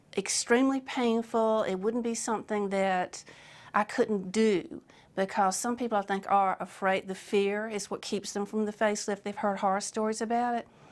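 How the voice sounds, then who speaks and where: A woman at a medium pitch with fairly even intonation. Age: 60s. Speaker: surgery patient. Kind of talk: testimony. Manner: halting.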